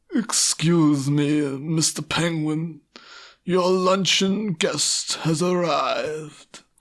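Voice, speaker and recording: Putting on a character voice, a man speaks at a very slow pace with a high pitch and fairly even intonation. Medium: stage play. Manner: formal, deferential.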